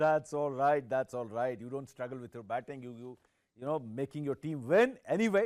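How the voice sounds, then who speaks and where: A man with an Indian accent on a very clean recording, silent background. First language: Hindi. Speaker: sports journalist. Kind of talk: interview.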